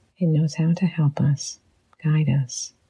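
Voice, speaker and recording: Very deep and low in pitch, this woman's voice has a gentle tone. She speaks at a fairly slow pace. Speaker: psychologist and leadership coach. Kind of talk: guided reflection. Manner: gentle, slow.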